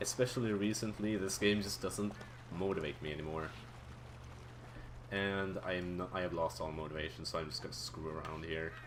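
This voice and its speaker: A man with a very deep, low pitch talks at a fairly quick pace with ordinary pitch variation and long, frequent pauses. Noticeable background noise and audible room echo sit around his voice. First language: not English. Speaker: speedrunner. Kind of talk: live gameplay commentary. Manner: casual, halting with repetitions.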